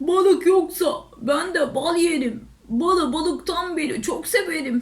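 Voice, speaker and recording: A woman performs a put-on character voice at an extremely high pitch. She keeps a fairly slow pace. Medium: read story.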